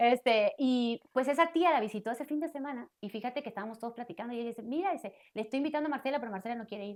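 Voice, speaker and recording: A woman's high-pitched voice, very fast, with lively intonation. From Argentina, Tandil, Buenos Aires province. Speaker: missionary. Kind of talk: interview testimony.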